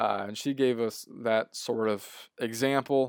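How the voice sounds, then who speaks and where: In a very clean recording with a silent background and a dry, close sound with no echo, a man with an ordinary speaking voice talks at a medium pitch with fairly even intonation. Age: 20s. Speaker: podcast host, graduate assistant in sports information. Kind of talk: solo podcast recap. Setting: solo podcast recording. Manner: casual, with frequent fillers and restarts.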